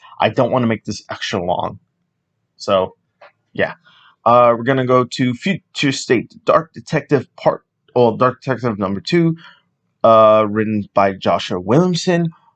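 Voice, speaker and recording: A man's medium-pitched voice, lively in intonation, at a fairly slow pace with long, frequent pauses, dry and close with no echo. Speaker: comics podcast host. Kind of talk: solo podcast monologue.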